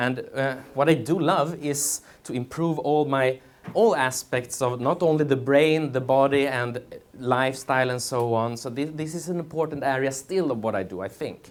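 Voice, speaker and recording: A man with a Swedish accent speaks at a moderate pace, his medium-pitched voice showing ordinary pitch variation. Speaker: memory champion and speaker. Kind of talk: conference talk. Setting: stage with audience.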